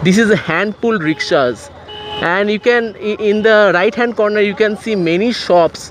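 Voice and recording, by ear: A man talks at a fairly slow pace in a high-pitched voice. His intonation is lively.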